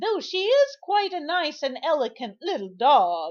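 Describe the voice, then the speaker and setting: A woman puts on a character voice with a high pitch at a moderate pace. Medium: read story. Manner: prim, sensible.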